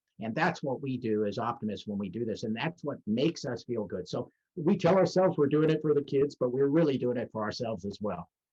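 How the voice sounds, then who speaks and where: With an American accent, a man talks at a fairly quick pace in an unremarkable speaking voice, medium in pitch, with lively intonation. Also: hardly any pauses. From Los Angeles, California. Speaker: service club president. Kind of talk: interview answer.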